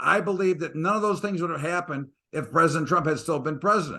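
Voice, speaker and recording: Against a quiet background, a man with an American accent talks at a very fast pace with a high pitch, a bright, sharp tone and ordinary pitch variation. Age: 60s. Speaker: market commentator. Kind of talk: interview. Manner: animated.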